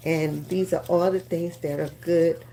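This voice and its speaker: With vocal fry and a dark, mellow tone, a woman speaks at a fairly slow pace, her pitch swinging very widely. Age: 60s. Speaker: beauty influencer, lash and brow business owner. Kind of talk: live-stream beauty tutorial. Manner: casual, with frequent fillers.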